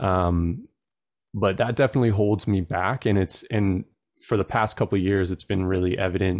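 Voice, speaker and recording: Over a quiet background, a man with a Canadian accent and a plain, everyday voice speaks at a moderate pace and a fairly low pitch, his intonation fairly even and his loudness very even, in a dry, close sound with no echo. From Vancouver Island, British Columbia, Canada. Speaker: podcast host and documentary creator. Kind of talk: interview.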